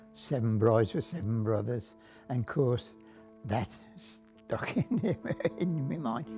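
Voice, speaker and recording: Over music in the background, the speaker goes at a very slow pace with long, frequent pauses. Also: man, medium pitch for a man, ordinary pitch variation. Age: 80s+. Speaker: cinema projectionist. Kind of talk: interview answer.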